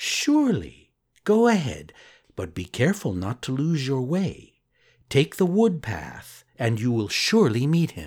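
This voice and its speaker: In a put-on character voice, a man speaks at a fairly slow pace and medium pitch with very wide pitch swings, recorded very cleanly against a silent background. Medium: read story. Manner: gentle, warm.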